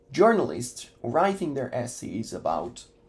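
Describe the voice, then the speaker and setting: At a fairly slow pace, a man speaks in a somewhat breathy voice. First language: Italian. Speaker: educational YouTuber. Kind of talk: casual talk to camera.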